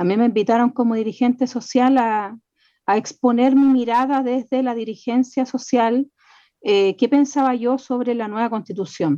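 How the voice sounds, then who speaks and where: A woman speaks at a moderate pace, high in pitch, with a dark, mellow tone and fairly even intonation. The background is quiet. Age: 40s. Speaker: community leader and radio host. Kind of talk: radio interview.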